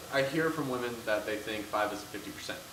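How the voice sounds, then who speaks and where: This man speaks at a medium pitch with ordinary pitch variation, and the recording carries audible room echo and noticeable background noise. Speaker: video blogger. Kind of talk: casual chat. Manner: loud.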